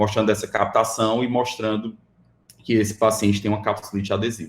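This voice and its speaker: Nothing can be heard in the background of this very clean recording. The speaker's intonation stays monotone and flat. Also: man. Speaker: radiologist lecturer. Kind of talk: lecture. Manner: fast.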